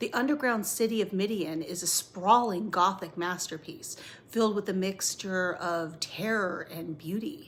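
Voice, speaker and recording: A woman speaks at a moderate pace, her medium pitch moving with ordinary variation. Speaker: horror podcast host. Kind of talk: horror movie and book discussion narration. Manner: theatrical, dramatic.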